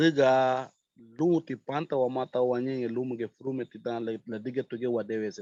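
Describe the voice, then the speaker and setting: A man with a Honduran accent speaks fairly slowly at medium pitch, his tone dark and mellow with ordinary pitch variation. His loudness swings widely, and the sound is dry and close with no echo. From Honduras, Garifuna village of Triunfo de la Cruz. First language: Garifuna (speaking Spanish). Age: young. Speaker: community volunteer. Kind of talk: interview.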